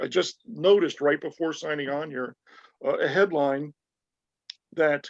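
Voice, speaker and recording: In a dry, close recording with no echo, a man talks at a moderate pace with ordinary pitch variation. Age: 60s. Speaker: urgent care doctor. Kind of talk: interview. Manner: hesitant, many fillers.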